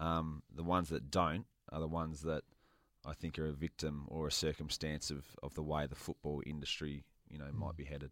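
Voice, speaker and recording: Very clean, silent-background recording of a man with a very deep, low pitch, monotone, flat intonation and a fairly quick pace, in a dry, close sound with no echo. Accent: Australian. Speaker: former footballer. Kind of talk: casual chat.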